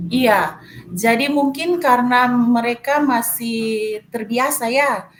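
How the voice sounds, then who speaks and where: Noticeable background noise sits behind a woman speaking at a very slow pace. Her pitch is high with ordinary variation. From Manado, North Sulawesi, Indonesia. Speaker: math teacher. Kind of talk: coaching session. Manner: hesitant, many fillers.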